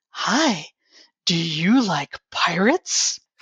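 This put-on character voice sits at a middle pitch and sounds raspy. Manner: very slow.

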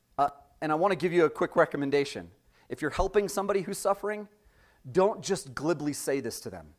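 Recorded very cleanly over a silent background, the voice shows big swings in loudness and ordinary pitch variation. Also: man, high pitch for a man. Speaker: preacher. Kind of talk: sermon. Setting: church.

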